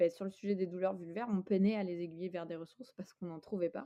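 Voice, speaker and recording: A woman speaks in a normal speaking voice. Her pitch is fairly low. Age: 30s. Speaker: app founder. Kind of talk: interview.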